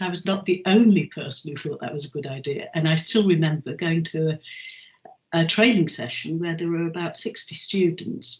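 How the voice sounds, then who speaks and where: Noticeable background noise is heard as a woman speaks at a fairly quick pace. Her pitch is fairly low, with ordinary pitch variation. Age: 70s. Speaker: chair of a learning charity for older people. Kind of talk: interview. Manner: halting, with frequent ums.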